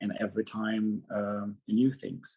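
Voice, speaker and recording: A man's dark, mellow voice with a Syrian accent. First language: Arabic. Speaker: former refugee speaker. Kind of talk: personal testimony. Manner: halting.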